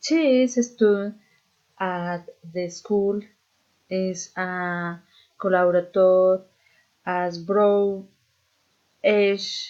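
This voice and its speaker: Very slowly and with long, frequent pauses, a woman speaks in a Spanish accent at a medium pitch with fairly even intonation. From Colombia, Boyacá (Socha). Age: 30s. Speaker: student. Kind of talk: reading aloud. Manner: halting.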